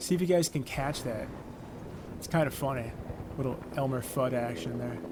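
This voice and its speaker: Relaxed in tone, a man at medium pitch speaks at a moderate pace with lively intonation, with audible room echo and noticeable background noise. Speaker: gaming commentator. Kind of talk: casual gameplay commentary. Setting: home, playing on PlayStation. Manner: relaxed, conversational.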